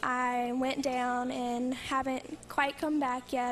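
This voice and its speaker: A soft-spoken woman with an American accent talks at a high pitch in a monotone, flat intonation. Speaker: college basketball player. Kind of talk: interview.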